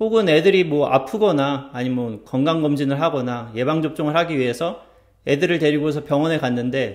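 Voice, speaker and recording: A man with a normal speaking voice, pitched fairly high, talks at a fairly quick pace. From South Korea. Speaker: YouTuber, researcher living abroad. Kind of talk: vlog-style talk to camera.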